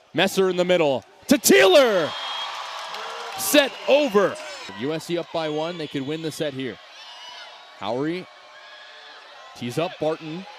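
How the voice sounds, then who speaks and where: A man speaks at a moderate pace in a fairly high voice, with long, frequent pauses and noticeable background noise. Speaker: sports play-by-play announcer. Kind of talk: live volleyball play-by-play call.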